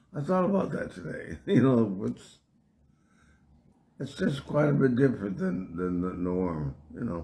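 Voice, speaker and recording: Fairly slow, somewhat breathy speech from a man in a dark, mellow tone, with very wide pitch swings and long, frequent pauses. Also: medium pitch for a man. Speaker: musician and festival founder. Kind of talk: casual interview on live stream. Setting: live stream. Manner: hard to understand.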